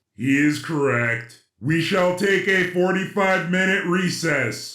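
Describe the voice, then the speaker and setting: Speaking in a put-on character voice, a man uses a high pitch at a fairly slow pace. There is a slight echo. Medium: audio drama. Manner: formal, imperious, uses royal "us".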